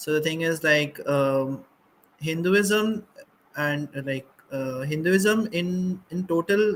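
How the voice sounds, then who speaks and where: This man speaks with a Bengali accent. His pitch varies in an ordinary way. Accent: Bengali Indian English. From India, Assam (Bengali). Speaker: panelist, doctor. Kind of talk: panel discussion. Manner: halting, many fillers.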